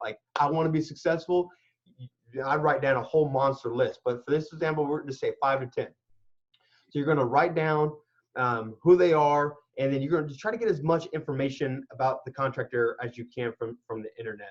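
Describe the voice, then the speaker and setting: At a fairly quick pace, a man speaks with a fairly high pitch. His voice is somewhat breathy, with ordinary pitch variation. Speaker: construction and renovation expert. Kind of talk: interview. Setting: live video call. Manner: fast; animated.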